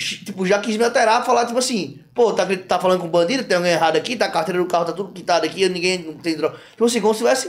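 The man's pitch moves in the usual way while he speaks very fast. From João Pessoa, Paraíba, Brazil. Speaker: comedian and influencer. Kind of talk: casual chat.

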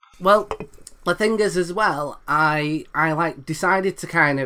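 This man speaks in a British accent at a moderate pace. His pitch is high and his tone is bright and sharp. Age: 30s. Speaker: comedian. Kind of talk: casual chat.

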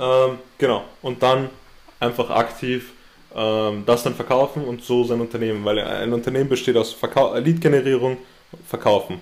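A man's medium-pitched voice at a moderate pace, with fairly even intonation over noticeable background noise. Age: 20s. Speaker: entrepreneur. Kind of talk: interview. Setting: host's office.

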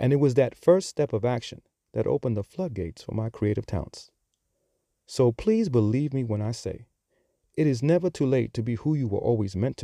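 On a very clean recording with a silent background and dry, close sound free of echo, a man with an American accent speaks fairly quickly at a medium pitch, his intonation lively. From Bronx, New York. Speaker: podcast host. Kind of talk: scripted-style podcast monologue.

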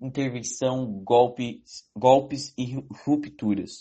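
The voice belongs to a man with a medium pitch. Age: young. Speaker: economics student. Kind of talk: interview. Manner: halting.

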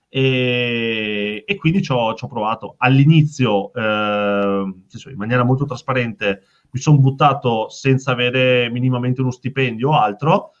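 In a Veneto accent, a man talks at a fairly slow pace, his pitch medium with ordinary variation. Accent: Veneto Italian. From Veneto, Italy. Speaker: startup founder. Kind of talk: casual interview chat.

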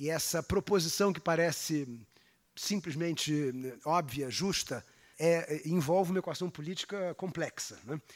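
A man with a Brazilian accent, a fairly high pitch, ordinary pitch variation and a fairly slow pace. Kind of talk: lecture. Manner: halting, many fillers; formal.

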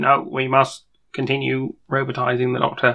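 Using a put-on character voice, a man speaks raspily at a moderate pace and medium pitch. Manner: harsh, commanding.

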